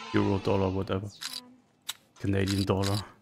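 A man's fairly low-pitched voice with music in the background. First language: not English. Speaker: casino streamer. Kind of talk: live gameplay commentary. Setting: online live casino stream. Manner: excitable, swears often.

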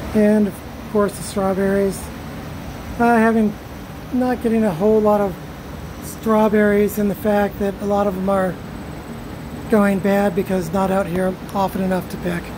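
Amid noticeable background noise, a woman speaks in a monotone, flat intonation at a moderate pace with long, frequent pauses. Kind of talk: casual vlog chat. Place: garden. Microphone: phone near.

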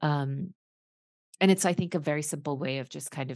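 A woman speaks with a dry sound, free of echo, against a quiet background. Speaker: leadership coach and former executive. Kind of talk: casual interview. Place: home room. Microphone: video call.

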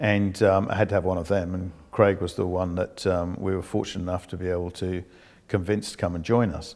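Over a quiet background, a man speaks with a very deep, low pitch and fairly even intonation. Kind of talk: interview answer. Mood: calm, reflective. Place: home room. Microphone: lapel.

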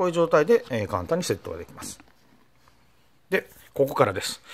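The speaker moves at a fairly quick pace with very wide pitch swings. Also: man. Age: 50s. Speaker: motorcycle blogger demonstrating gear. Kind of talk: product tutorial. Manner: frequent filler hesitations; polite formal. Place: home room. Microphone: phone near.

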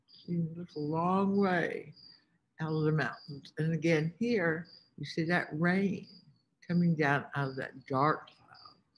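A woman talks at a very slow pace in a fairly low, somewhat breathy voice with fairly even intonation. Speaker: teacher or field trip guide. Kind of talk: lesson narration for young children. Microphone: webcam.

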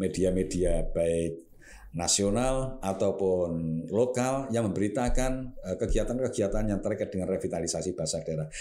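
At a moderate pace, a man in a Javanese accent speaks with a dark, mellow tone, fairly low pitch and ordinary pitch variation. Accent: Javanese-accented Indonesian. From Java, Indonesia. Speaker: government language official; guest. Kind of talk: talk show interview. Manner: formal. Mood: calm, explanatory. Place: studio. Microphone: studio mic.

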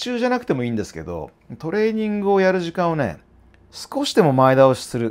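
The pace is fairly quick. It is a man talking. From Japan. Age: 40s. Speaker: fitness trainer and YouTuber; fitness trainer, YouTuber. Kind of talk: casual monologue to camera. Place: office. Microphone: lapel.

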